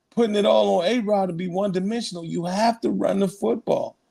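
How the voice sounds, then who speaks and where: With a dark, mellow tone, a man speaks at a high pitch and a moderate pace. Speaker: sports podcast co-host. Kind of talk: casual chat.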